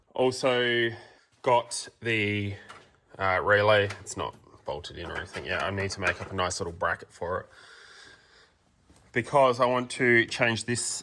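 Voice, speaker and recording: In an Australian accent, a man with a bright, sharp tone mumbles at a moderate pace, his loudness swinging widely, his pitch varying in an ordinary way, and his speech broken by long, frequent pauses. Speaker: car mechanic youtuber. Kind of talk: tutorial. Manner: mumbly; casual with many fillers.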